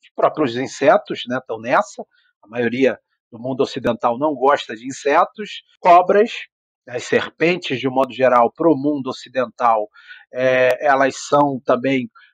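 In a normal speaking voice, a man with a fairly high pitch talks at a fairly slow pace, with ordinary pitch variation, big swings in loudness, and a dry, close sound with no echo. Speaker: biology professor. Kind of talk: interview conversation.

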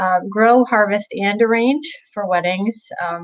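Over a quiet background, a woman speaks at a fairly slow pace with ordinary pitch variation. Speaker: interview guest. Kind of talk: interview answer. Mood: friendly, enthusiastic. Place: home room. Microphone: video call.

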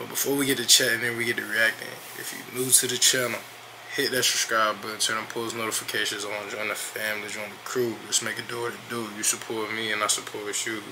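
A man rattles along at a very fast pace in a monotone, flat intonation. Background noise is noticeable. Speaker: reaction streamer. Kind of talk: casual vlog chat.

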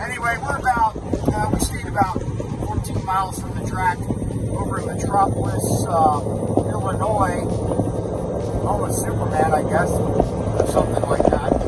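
A man's voice with long, frequent pauses, dry and echo-free, over loud background noise. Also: moderate pace. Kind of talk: casual vlog chat. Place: car. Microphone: phone near.

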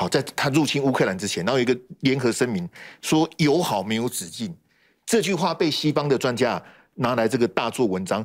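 Against a quiet background, a man speaks fairly quickly at a medium pitch with lively intonation. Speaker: political commentator. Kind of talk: heated debate. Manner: animated. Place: studio. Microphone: lapel.

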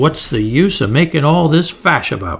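Putting on a character voice, a man speaks at a moderate pace in a shrill, fairly high pitch. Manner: shrill, scolding.

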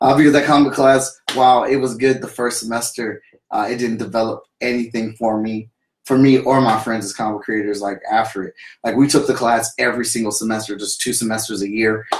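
The speech comes at a fairly quick pace, with light background noise and audible room echo. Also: man, medium pitch for a man. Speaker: comic book creator and vlogger; comic book creator, vlogger. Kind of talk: casual livestream monologue. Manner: enthusiastic; halting. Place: home room. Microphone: webcam.

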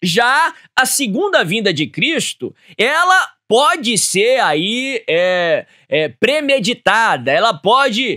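With an extremely high pitch, very wide pitch swings and a bright, sharp tone, a man projects a raised voice at very even loudness and a very slow pace against a quiet background. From Brazil. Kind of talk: Bible teaching program. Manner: formal. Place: studio. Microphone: studio mic.

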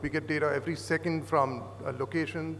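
Delivered at a moderate pace, the speech carries light background noise. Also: man. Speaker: conference presenter. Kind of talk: lecture. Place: hall. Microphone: podium.

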